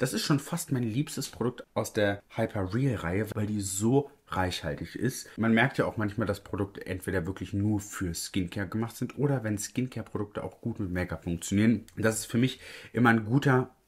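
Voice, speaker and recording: A somewhat breathy man at a fairly low pitch, with ordinary pitch variation, a moderate pace and hardly any pauses. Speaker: makeup content creator. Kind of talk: tutorial. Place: home room.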